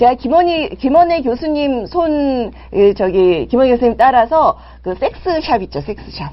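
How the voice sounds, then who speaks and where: The voice swings very widely in pitch and moves at a fairly slow pace. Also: woman, high pitch for a woman. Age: 50s. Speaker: parenting and sex education mentor hosting a live show. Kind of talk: live-streamed talk answering viewer chat. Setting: live broadcast with viewer chat. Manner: animated.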